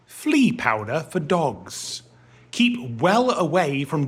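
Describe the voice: This is plain reading aloud. The text is read straight through.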